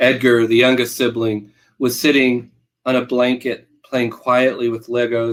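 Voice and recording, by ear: A natural voice reads aloud. Little sound comes from the quiet background.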